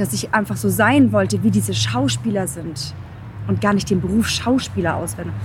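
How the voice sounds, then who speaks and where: Noticeable background noise behind a woman talking at a moderate pace. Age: 30s. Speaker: podcast host, pitch coach. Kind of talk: interview, casual chat. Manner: animated, enthusiastic.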